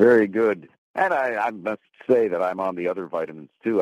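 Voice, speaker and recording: Heard with a dry, close sound and no echo, a man speaks with vocal fry. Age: 70s. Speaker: retired newscaster, caller. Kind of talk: testimony.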